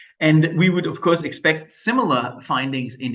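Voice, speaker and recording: A man with a Danish accent speaks with lively intonation at a fairly high pitch. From Denmark. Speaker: medical expert. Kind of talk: lecture.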